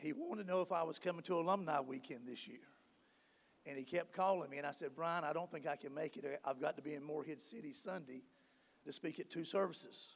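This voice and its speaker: A man at a very fast pace, fairly high pitch and ordinary pitch variation. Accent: American. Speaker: award honoree and alumnus. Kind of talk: acceptance speech.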